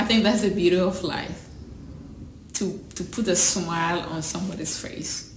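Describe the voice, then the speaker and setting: A woman talks at a moderate pace with fairly even intonation. The recording carries audible room echo and noticeable background noise. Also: medium pitch for a woman. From Ghana, rural village. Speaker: school founder. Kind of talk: personal testimony interview. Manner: halting, repeats words.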